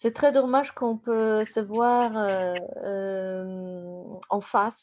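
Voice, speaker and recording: The speaker talks at a very slow pace with a Polish accent. Pitch variation is ordinary. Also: woman. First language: Polish (speaking French). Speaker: university lecturer. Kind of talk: academic presentation. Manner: halting.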